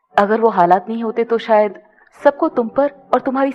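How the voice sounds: In a natural reading voice, the pitch moves up and down by ordinary amounts.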